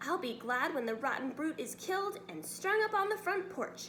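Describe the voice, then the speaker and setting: A woman uses a put-on character voice, extremely high in pitch with very wide swings. Clear background noise runs underneath. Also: moderate pace. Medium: read story.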